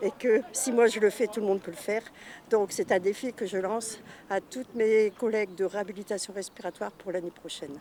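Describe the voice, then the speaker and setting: Fairly quick speech from a woman with a fairly high pitch, ordinary pitch variation, and noticeable background noise. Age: 60s. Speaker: trail participant with lung disease. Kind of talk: interview testimony.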